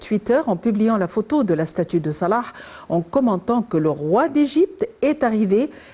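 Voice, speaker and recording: A woman's dark, mellow tone, fairly slow pace, and very wide pitch swings. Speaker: TV host. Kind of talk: TV interview.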